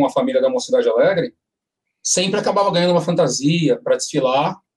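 A man rattles off his words at a very fast pace. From São Paulo, Brazil (Limão district). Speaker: samba composer. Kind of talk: casual chat.

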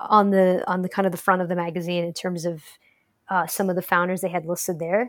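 A woman speaks at a medium pitch and a fairly quick pace, with an American accent. Hers is an unremarkable speaking voice. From Detroit, Michigan, US. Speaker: tech startup co-founder. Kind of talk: interview.

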